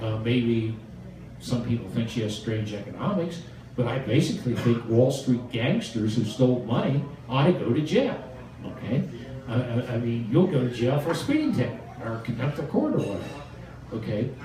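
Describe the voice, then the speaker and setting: A man talks at a moderate pace with a medium pitch. There is audible room echo and noticeable background noise. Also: ordinary pitch variation. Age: 70s. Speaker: speaker answering audience questions. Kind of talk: Q&A answer at a political meeting.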